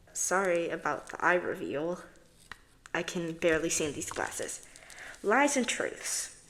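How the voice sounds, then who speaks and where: In a room with audible echo, a woman with a fairly low pitch speaks fairly slowly and with lively intonation, pausing long and often. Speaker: commentary video creator. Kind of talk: commentary reading out tweets. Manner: halting, stumbles over words.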